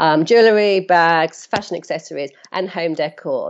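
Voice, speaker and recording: This woman's voice has a fairly low pitch. Her pitch variation is ordinary. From London. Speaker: e-commerce business founder. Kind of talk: interview.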